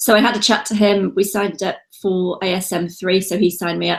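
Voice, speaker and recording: Speaking with a British accent, a woman talks at a medium pitch and a fairly quick pace with fairly even intonation. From UK. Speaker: online seller and entrepreneur. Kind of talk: interview. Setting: call.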